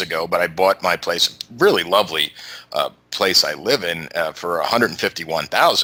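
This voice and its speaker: Over noticeable background noise, a man speaks in a New York accent. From New York City. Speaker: YouTube show host, interview guest. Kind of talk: podcast interview. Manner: halting, many fillers.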